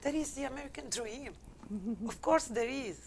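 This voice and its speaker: A woman with an Algerian accent and a fairly high-pitched voice. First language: not English. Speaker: business consultant. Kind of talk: interview answer.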